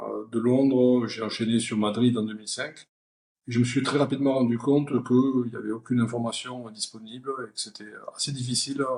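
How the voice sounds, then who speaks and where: This man talks at a moderate pace with medium pitch. His intonation stays fairly even. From southern France (Perpignan). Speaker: company founder and CEO. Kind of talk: interview. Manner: hesitant, many fillers.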